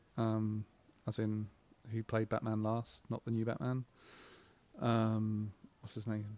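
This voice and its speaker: Speaking at a fairly slow pace with an English accent, this voice has a dark, mellow tone and flat, monotone intonation, broken by long, frequent pauses, in a dry, close recording with no echo. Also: man, fairly low pitch for a man. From England, Buckinghamshire/Oxfordshire border. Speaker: game studio creative director. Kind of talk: casual chat. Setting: live recording in a bookstore.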